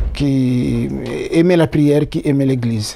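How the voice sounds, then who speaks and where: A man is speaking. His tone is dark and mellow. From Republic of the Congo, Brazzaville region. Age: 60s. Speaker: interviewee. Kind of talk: interview. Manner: hesitant with many fillers.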